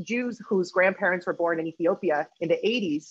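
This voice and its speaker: The speaker goes at a moderate pace with ordinary pitch variation over a quiet background. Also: woman. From Peru, raised in Spain and US. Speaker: activist and researcher; panelist. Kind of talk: panel discussion. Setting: video call. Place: home room. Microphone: video call.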